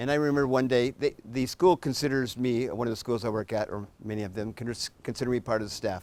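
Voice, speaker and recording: A man's unremarkable speaking voice, medium-pitched, with ordinary pitch variation and a fairly quick pace. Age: 60s. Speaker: political candidate. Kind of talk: candidate debate.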